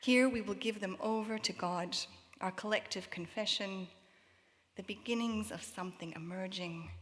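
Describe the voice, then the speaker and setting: This woman talks at a medium pitch with fairly even intonation and a somewhat breathy sound. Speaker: worship leader. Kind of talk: reflective prayer address. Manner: slow.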